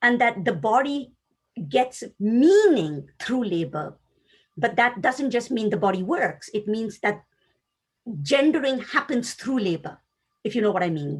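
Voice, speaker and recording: Someone with a Tamil accent talks at a fairly slow pace. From South Asia (Tamil-speaking). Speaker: academic panelist. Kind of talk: academic roundtable discussion. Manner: thoughtful, with hesitations.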